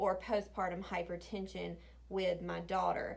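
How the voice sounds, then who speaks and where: Heard with audible room echo, a woman speaks at a fairly slow pace. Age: 30s. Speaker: planning vlogger. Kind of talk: casual chat. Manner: halting.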